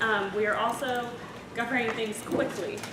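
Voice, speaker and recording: Noticeable background noise and audible room echo fill the clip. A woman speaks with a fairly high pitch. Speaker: university admissions outreach coordinator. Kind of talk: presentation. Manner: fast.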